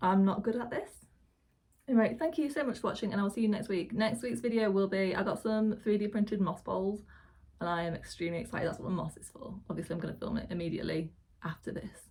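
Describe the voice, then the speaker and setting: A woman talks very fast at medium pitch in a somewhat breathy voice. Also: ordinary pitch variation. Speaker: houseplant YouTuber. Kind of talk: casual tutorial vlog. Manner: speaking quietly.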